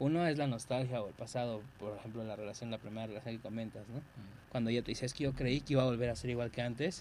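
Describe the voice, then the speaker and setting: With a Mexican accent, a man speaks at a very fast pace with ordinary pitch variation. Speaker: podcast co-host. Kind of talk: casual chat.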